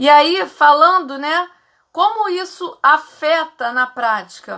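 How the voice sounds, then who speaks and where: A woman's raised, projected voice, high in pitch, bright and sharp in tone, with lively intonation at a very slow pace. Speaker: psychologist. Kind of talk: live stream talk. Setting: live stream.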